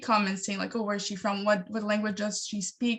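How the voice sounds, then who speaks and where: Somewhat breathy, a woman speaks. Her pitch is fairly high. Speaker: digital media content creator. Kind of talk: panel discussion. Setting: video call. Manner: hesitant, many fillers.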